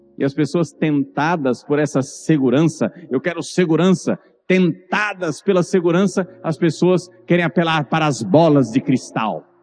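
A man with a Brazilian accent talks in an animated tone at a fairly slow pace, hardly pausing at all. His voice sits fairly high, with ordinary pitch variation. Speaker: preacher. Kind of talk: sermon. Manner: earnest.

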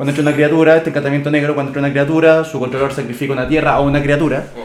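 Over noticeable background noise, a man with a Chilean accent talks in a fairly high pitch. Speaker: podcast co-host. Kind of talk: casual chat.

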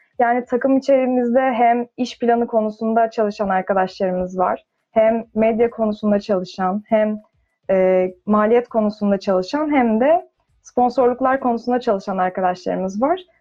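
Woman with an ordinary speaking voice, fairly high pitch and ordinary pitch variation, at a moderate pace and very even loudness. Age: 20s. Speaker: engineering student. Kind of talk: casual chat.

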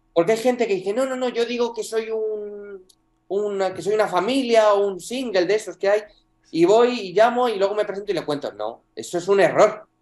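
A man's high-pitched voice with fairly even intonation at a moderate pace. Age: 20s. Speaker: property rental entrepreneur. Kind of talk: interview.

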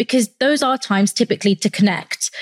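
A woman talks at a fairly quick pace in a London accent with a fairly high pitch. The sound is dry and close, with no echo. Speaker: podcast host. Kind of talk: interview. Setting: recording in Paris.

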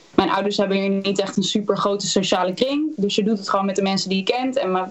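A woman is heard over noticeable background noise. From Netherlands, Utrecht area (Houten). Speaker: singer-songwriter. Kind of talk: interview.

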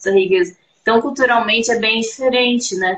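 Using an ordinary speaking voice, a woman talks at a moderate pace in a fairly high pitch with fairly even intonation. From Brazil, Campinas, São Paulo state. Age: 30s. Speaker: belly dancer. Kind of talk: casual interview. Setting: live stream.

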